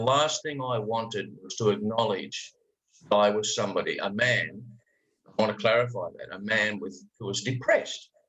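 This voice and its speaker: An Australian accent comes through. The delivery moves at a moderate pace. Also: man. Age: 60s. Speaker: life coach. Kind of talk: podcast interview. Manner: animated.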